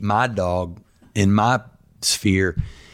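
Fairly even intonation marks this unremarkable speaking voice. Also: man. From US South. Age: 60s. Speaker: real estate agent and former rock guitarist. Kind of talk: interview. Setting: at home.

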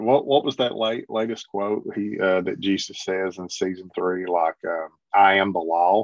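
A man speaks in an unremarkable speaking voice, fairly low in pitch, with ordinary pitch variation. His pace is moderate, with hardly any pauses. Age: 50s. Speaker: Bible reviewer and podcast guest. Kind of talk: casual chat.

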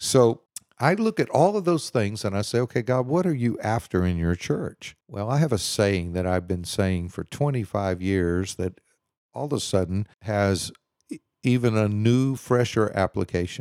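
With a Texan accent, a man speaks at a fairly slow pace with lively intonation, in a dry, close sound with no echo and a very clean recording over a silent background. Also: fairly low pitch for a man. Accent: Texan American English. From Houston, Texas. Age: 60s. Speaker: pastor. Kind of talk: casual interview.

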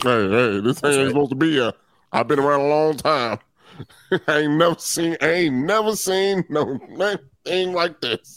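A man uses a put-on character voice at a fairly high pitch. He keeps a moderate pace with long, frequent pauses. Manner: gruff, world-weary.

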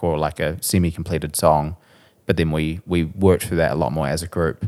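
A man with a New Zealand accent at a moderate pace, on a very clean recording with a silent background. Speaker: musician. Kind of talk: casual chat.

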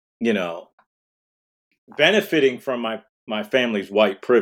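A man's medium-pitched voice with an American accent and very wide pitch swings, at a moderate pace on a very clean recording with a silent background. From Detroit, Michigan. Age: 50s. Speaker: diversity speaker. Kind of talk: casual interview chat.

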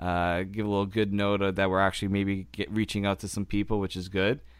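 In a plain, everyday voice, a man with a fairly low pitch talks at a fairly quick pace in a very clean recording with a silent background. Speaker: podcast host. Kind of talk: casual hockey podcast chat.

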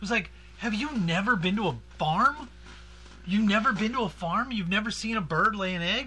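A man's high-pitched, raised, projected voice at a moderate pace with ordinary pitch variation. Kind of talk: bantering comedy podcast chat, playing along with a mock house-arrest gag, no sales pitch.

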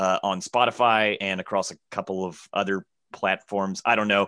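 Against a quiet background, a man with a Southern accent and a bright, sharp tone speaks at a moderate pace in a dry, close sound with no echo. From Alabama, US South. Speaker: comedian. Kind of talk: casual chat.

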